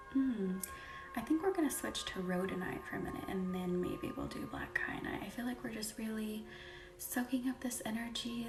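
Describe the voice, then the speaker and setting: Over music in the background, a soft-spoken voice talks in a calm tone at a moderate pace. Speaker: Reiki healer hosting a live energy healing session. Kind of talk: live Reiki session chat with viewers. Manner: soft-spoken, calm.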